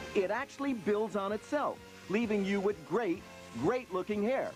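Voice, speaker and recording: The pace of speech is moderate. Behind it, music can be heard. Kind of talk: TV commercial read; parody infomercial.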